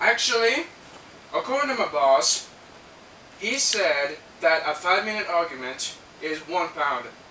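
A high-pitched man at a fairly slow pace, with audible room echo and light background noise. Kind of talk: comedy sketch roleplay. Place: home room. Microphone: camera far.

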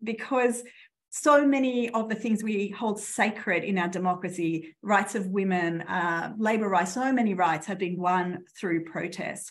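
A woman with a plain, everyday voice, medium pitch and a fairly slow pace. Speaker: law professor. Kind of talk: conference presentation.

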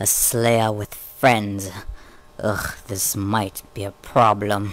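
A put-on character voice with a low pitch delivers its lines at a very slow pace. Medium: audio drama. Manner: sneering, mocking.

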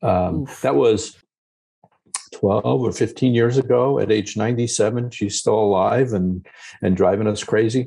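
Against a quiet background, a man with an American accent speaks at a fairly slow pace in a dark, mellow tone with vocal fry, ordinary pitch variation and very even loudness. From US, Long Island, New York. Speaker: geriatrician and author. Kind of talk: casual interview. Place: office. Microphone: video call.

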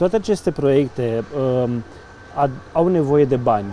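A man talks at a moderate pace and a fairly high pitch in an ordinary speaking voice. The sound is dry with no echo, with light background noise. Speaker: local news interviewer. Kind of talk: interview. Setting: outdoors by a riverside promenade under construction. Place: boat. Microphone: lapel.

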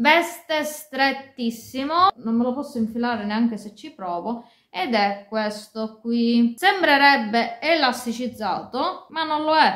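A woman's high voice with lively intonation at a very slow pace, audible room echo and a quiet background. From Sicily. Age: 30s. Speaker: fashion and beauty YouTuber. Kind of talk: casual talk to camera. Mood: disappointed complaint. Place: home room. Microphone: phone near.

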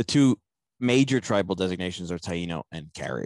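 Very deep and low in pitch, a man speaks at a moderate pace. The sound is dry with no echo, over a quiet background. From US, Italian American community. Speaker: podcast host and foundation director. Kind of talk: interview, historical explanation. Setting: remote recording. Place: home room. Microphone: headset.

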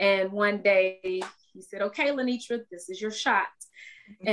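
Against a quiet background, a woman with an American accent talks at a fairly slow pace. Her pitch variation is ordinary. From US South, Tallahassee, Florida. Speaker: TV news anchor. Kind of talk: casual chat. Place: home room. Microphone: video call.

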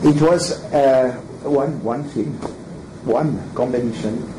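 Through noticeable background noise, a man speaks at a fairly slow pace with lively intonation. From Switzerland (French-speaking). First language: French. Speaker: throws coach. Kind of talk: lecture. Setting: stage with audience. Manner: halting. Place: meeting room. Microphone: camera far.

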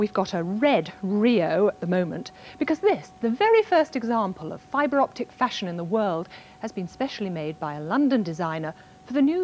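With music playing behind her, a woman of medium pitch talks at a moderate pace. Her pitch swings very widely. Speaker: tv science presenter. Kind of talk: 1980s tv science presenter narration. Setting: television studio. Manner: polished, friendly, lightly witty.

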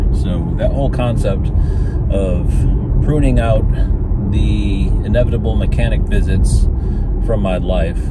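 Loud background noise surrounds a man talking at a fairly slow pace. The sound itself is dry with no echo. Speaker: EV owner vlogger. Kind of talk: casual vlog chat. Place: car. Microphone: phone near.

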